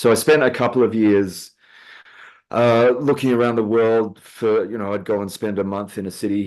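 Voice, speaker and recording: This man has an Australian accent and fairly even intonation. He talks at a moderate pace against a quiet background. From Western Australia (Perth). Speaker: guitarist, gigging musician. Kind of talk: casual interview chat.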